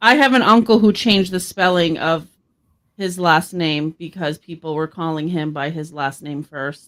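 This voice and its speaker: In a very clean recording with a silent background, a woman with an American accent speaks at a moderate pace in a fairly low pitch, with ordinary pitch variation and big swings in loudness. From Boston. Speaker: podcast co-host. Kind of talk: casual podcast chat.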